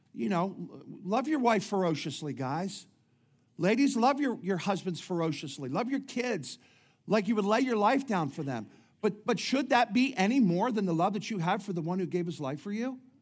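Speaking at a moderate pace with lively intonation, a man with a high pitch is heard amid audible room echo. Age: 50s. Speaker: pastor. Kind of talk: sermon. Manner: animated.

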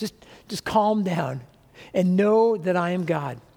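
Speaking at a fairly slow pace, a man with a high pitch and a dark, mellow tone uses ordinary pitch variation. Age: 60s. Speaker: pastor. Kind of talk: sermon.

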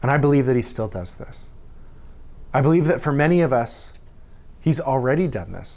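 With a Canadian accent, the speaker goes at a fairly quick pace amid audible room echo. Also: man. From Saskatchewan, Canada. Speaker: pastor. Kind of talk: sermon.

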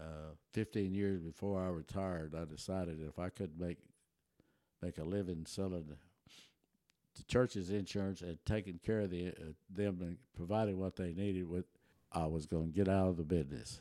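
Pausing long and often, a man speaks in a very deep, low, dark and mellow voice with fairly even intonation. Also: moderate pace. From Texas, German-speaking settlement near Taylor. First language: German. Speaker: retired insurance agent, church member. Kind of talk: interview storytelling.

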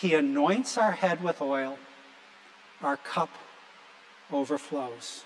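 A man's fairly high voice at a very slow pace, with very wide pitch swings, long, frequent pauses and noticeable background noise. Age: 60s. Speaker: pastor. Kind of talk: sermon. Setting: church.

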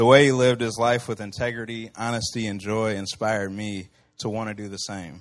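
Against a quiet background, the speaker talks at a fairly quick pace with a Midwestern American accent and monotone, flat intonation. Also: man, medium pitch for a man. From Central Illinois. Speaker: campus ministry worker. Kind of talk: personal testimony.

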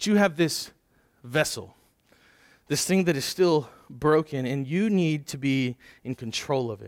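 A fairly high-pitched man speaks with long, frequent pauses. The recording is very clean, with a silent background. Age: 30s. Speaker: pastor. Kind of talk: sermon. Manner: halting, with frequent word repetitions.

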